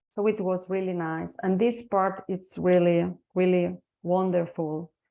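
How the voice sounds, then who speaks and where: A woman speaks at a fairly slow pace with a medium pitch. Her intonation is monotone and flat. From Spain. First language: Spanish. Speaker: energy healing practitioner and translator. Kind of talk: interview testimony. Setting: online webinar. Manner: halting.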